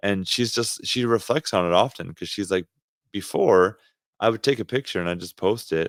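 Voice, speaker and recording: With a Canadian accent, a man speaks at a moderate pace in a plain, everyday voice, his fairly low pitch showing ordinary variation, on a very clean recording with a silent background and a dry, close sound with no echo. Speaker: podcast co-host, ministry leader. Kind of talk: casual chat.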